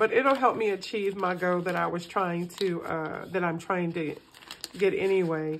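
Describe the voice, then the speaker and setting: A moderate pace, ordinary pitch variation, and light background noise. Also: woman, fairly low pitch for a woman. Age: middle-aged. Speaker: personal finance vlogger. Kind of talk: casual chat while cash stuffing. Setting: home recording. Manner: relaxed, with fillers and repetitions. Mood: relaxed, upbeat. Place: home room. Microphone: phone near.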